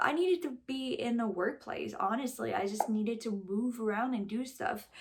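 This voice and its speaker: A woman with a Quebec accent speaks at a moderate pace in a fairly high pitch, her intonation lively. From Quebec, Rouyn-Noranda. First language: French. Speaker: vlogger and musician. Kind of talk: personal storytelling vlog. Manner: casual, with many fillers.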